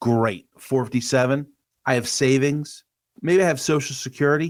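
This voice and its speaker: A man with a normal speaking voice and an American accent, medium pitch, moderate pace, in a very clean recording with a silent background. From US Northeast, Delaware County, Pennsylvania. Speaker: financial advisor. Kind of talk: podcast interview.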